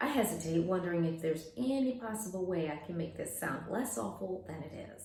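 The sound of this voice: The reading voice sounds unforced. Its pitch moves in a lively way.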